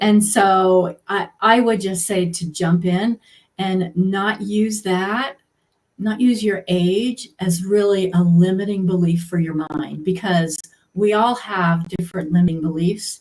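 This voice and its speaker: A woman's somewhat breathy voice at medium pitch, very slow in pace, with fairly even intonation. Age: 60s. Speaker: healthcare professional turned coaching client. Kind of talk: interview.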